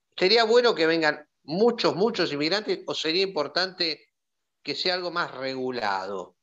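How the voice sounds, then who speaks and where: A man speaks with a high pitch, a bright, sharp tone and lively intonation against a quiet background. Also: fairly slow pace. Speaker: doctor and journalist. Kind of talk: panel discussion.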